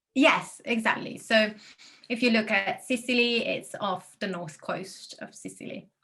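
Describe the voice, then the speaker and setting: In an Italian accent, a woman with a fairly high pitch and a bright, sharp tone speaks at a fairly slow pace, showing ordinary pitch variation and big swings in loudness. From Italy. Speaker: destination wedding planner. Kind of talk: interview.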